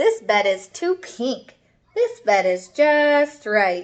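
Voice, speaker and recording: A woman puts on a high-pitched character voice and speaks at a very slow pace. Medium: read story.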